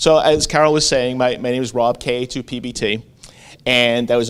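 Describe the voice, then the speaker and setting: Medium-pitched man with an American accent. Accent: Staten Island accent, comes out when excited. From Staten Island, New York. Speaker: amateur radio operator and school board member. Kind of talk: conference presentation.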